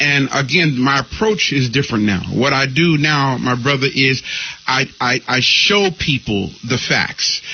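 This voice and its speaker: Speaking at a fairly slow pace, a man keeps a medium pitch with ordinary pitch variation and very even loudness. Noticeable background noise runs underneath. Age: 60s. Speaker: spiritual leader and radio teacher. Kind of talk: interview.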